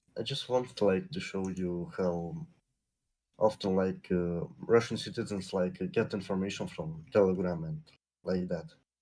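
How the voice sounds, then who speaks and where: With a Lithuanian accent, a man speaks at a moderate pace in a very deep, low pitch. His tone is dark and mellow, with ordinary pitch variation. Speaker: caller. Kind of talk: casual chat. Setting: video call.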